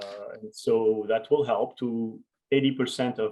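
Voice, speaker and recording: Speaking with a French accent, a man uses a medium pitch and ordinary pitch variation. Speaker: education researcher and author. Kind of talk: conference Q&A conversation.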